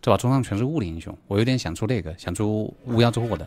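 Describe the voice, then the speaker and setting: A man speaks at a very fast pace with a fairly low pitch. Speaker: game streamer. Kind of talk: live gameplay commentary. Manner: animated. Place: home room.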